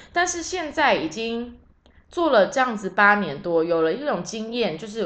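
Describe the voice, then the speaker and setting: A woman with a fairly high pitch speaks at a moderate pace, her voice showing very wide pitch swings. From Taiwan. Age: 30s. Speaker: podcast host, tour leader. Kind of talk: casual solo monologue.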